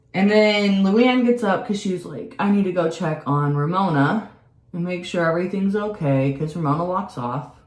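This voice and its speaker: A woman speaks at a medium pitch and moderate pace with lively intonation, with audible room echo. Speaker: beauty and reality TV vlogger. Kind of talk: casual chat.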